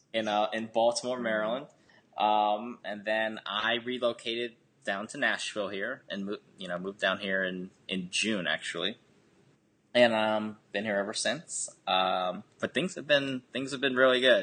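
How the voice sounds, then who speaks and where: A man with an American accent and a plain, everyday voice speaks at medium pitch and a moderate pace, with ordinary pitch variation. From Harrisburg, Pennsylvania, US. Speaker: government retirement specialist, Korean adoptee. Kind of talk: interview conversation.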